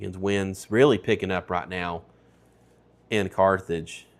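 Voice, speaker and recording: A man with a Tennessee accent speaks in a very deep, low pitch with monotone, flat intonation at a moderate pace on a very clean recording with a silent background. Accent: Tennessee Southern. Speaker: weather broadcaster. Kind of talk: live storm coverage. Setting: studio.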